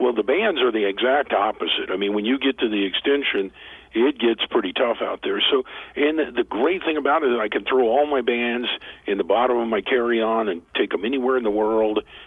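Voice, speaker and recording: A man talks at a fairly quick pace and a medium pitch. His pitch varies in an ordinary way, and his loudness stays very even. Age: 60s. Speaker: author and motivational speaker. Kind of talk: interview. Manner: halting.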